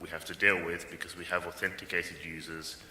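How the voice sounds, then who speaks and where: At a fairly quick pace, a man speaks with audible room echo around his voice. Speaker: conference speaker, software developer. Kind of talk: technical conference talk. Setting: conference stage with audience. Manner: fast.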